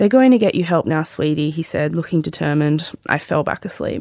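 This woman has an Australian accent. Her intonation is lively. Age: 30s. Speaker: podcast host and memoir author. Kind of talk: reading aloud from memoir; casual chat with mum. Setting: studio.

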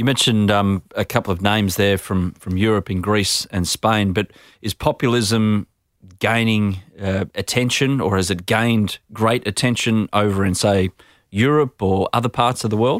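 In a very clean recording with a silent background and a dry, close sound with no echo, a man speaks at a moderate pace with an Australian accent, a fairly low pitch and fairly even intonation. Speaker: podcast host. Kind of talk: interview; scripted narration. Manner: casual, jokey.

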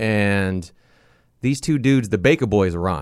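This man has an American accent. His intonation moves in a lively way. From Long Beach, California. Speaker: radio DJ. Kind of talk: casual interview chat. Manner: animated.

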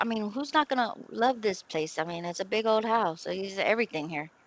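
At a moderate pace, an unremarkable speaking voice carries lively intonation. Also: woman. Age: 40s. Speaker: domestic violence survivor. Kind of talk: casual chat. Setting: video call. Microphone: bad internet connection, dropouts.

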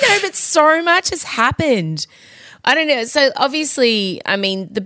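Speaking fairly slowly, a woman sounds animated with a bright, sharp tone on a very clean recording with a silent background and a dry, close sound with no echo. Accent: Australian. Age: 40s. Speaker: podcast host. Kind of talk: casual chat.

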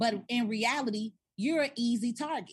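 A woman's somewhat breathy voice. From South Side of Chicago. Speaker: tax and business consultant. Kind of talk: interview.

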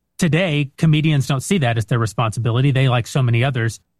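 At a very fast pace, a man with a medium pitch and an American accent speaks somewhat breathily with ordinary pitch variation, in a dry, close sound with no echo. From West Texas. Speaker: film producer and director. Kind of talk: casual chat.

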